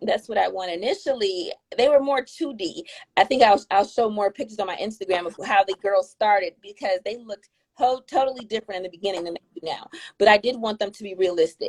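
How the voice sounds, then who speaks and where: Speaking very fast with lively intonation and big swings in loudness, a woman at a medium pitch with an American accent comes through in a dry, close sound with no echo. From Metro Detroit, US. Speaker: children's book author. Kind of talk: interview. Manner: halting, repetitive starts.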